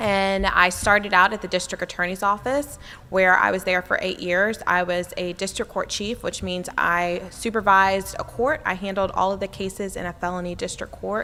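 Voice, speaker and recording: With an American accent, a woman speaks at a moderate pace with hardly any pauses, fairly even intonation and a bright, sharp tone. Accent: occasional deep Southern. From US South, military family. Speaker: city official and former prosecutor. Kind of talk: conference presentation. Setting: conference breakout room with audience.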